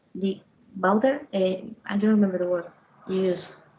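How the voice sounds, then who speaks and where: Somewhat breathy, a woman speaks with a Spanish accent. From Venezuela. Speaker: lawyer. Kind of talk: casual chat. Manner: halting.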